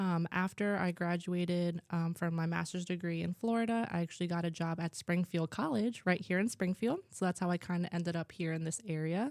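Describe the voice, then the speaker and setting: A woman with a New Jersey accent, fairly low in pitch, with fairly even intonation at a fairly quick pace, in a dry, close sound with no echo on a very clean recording with a silent background. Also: very even loudness. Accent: New Jersey American English. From New Jersey (Warren), US. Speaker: school culture coordinator. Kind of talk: interview. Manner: hesitant, many fillers.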